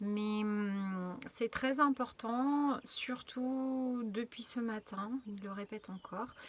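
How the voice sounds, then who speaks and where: A woman's fairly high voice, very slow and fairly even in intonation. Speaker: spiritual channeler. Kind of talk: inspirational video message. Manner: very soft, gentle.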